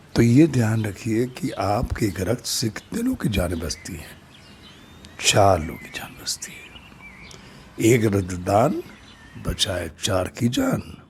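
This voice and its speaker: The intonation is lively, and loudness swings widely. Noticeable background noise runs underneath. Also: man, fairly low pitch for a man. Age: 60s. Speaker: storyteller and social worker. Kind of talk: narrated story with appeal to viewers.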